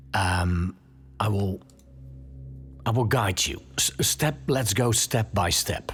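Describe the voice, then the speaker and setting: With music playing in the background, a man speaks at a very slow pace, leaving long, frequent pauses. His pitch is fairly low and his intonation lively. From Netherlands. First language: Dutch. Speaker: podcast host. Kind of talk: tutorial. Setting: home studio. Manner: casual, with hesitations.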